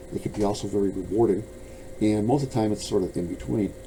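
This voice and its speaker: Noticeable background noise accompanies a man speaking at a fairly low pitch with ordinary pitch variation. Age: 70s. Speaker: bladesmith and author. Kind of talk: casual monologue to camera. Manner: halting, repeating words.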